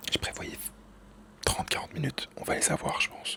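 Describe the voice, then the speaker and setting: Whispering over noticeable background noise, a man speaks. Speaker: video editor and vlogger. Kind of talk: casual vlog monologue.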